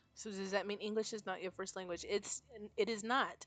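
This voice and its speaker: A woman speaks in a Spanish accent at a medium pitch. Her intonation is monotone and flat. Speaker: game streamer. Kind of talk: casual chat. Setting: live stream while gaming.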